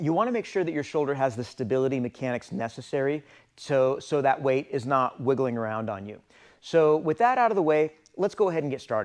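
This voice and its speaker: Very fast delivery with lively intonation. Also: man, fairly high pitch for a man. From former Soviet Union, raised in US from young age. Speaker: strength coach, gym owner. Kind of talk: tutorial; telling a joke. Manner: casual with filler words.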